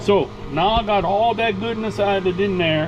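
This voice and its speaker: Over noticeable background noise, a man speaks at a high pitch with a strong Louisiana accent. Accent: thick Cajun. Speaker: cooking vlogger. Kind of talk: cooking tutorial. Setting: RV kitchen. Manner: casual, folksy.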